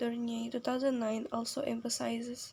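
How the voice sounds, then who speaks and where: A woman speaks at a moderate pace with a non-native accent. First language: not English. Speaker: university student. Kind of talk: reading aloud. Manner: halting.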